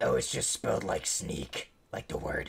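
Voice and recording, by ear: A man puts on a raspy character voice. He speaks at a moderate pace.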